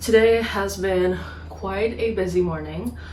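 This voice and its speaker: A woman's voice carries audible room echo amid noticeable background noise. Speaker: book vlogger. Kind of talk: vlog diary. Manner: casual, chatty; whispering quietly.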